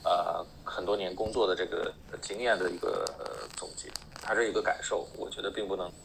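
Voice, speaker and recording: A man is speaking. Background noise is noticeable. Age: 40s. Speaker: software engineer. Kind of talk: casual panel chat.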